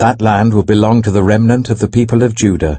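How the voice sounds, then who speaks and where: A man's warm-toned voice with vocal fry. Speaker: actor. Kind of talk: audio Bible reading. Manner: reverent, clear, warm.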